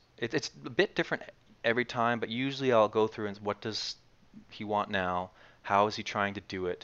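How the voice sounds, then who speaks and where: A man with a Maritimes accent speaks at a fairly low pitch and a fairly quick pace. His pitch varies in an ordinary way over a quiet background. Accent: Canadian English (Maritimes). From Canada, Nova Scotia (Dartmouth). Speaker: actor and acting teacher. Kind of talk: casual interview chat.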